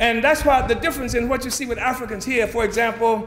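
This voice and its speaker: A man with an American accent speaks at an extremely high pitch and a very fast pace in an animated tone. Noticeable background noise and audible room echo are present. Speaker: political movement leader. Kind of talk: political speech. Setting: conference audience.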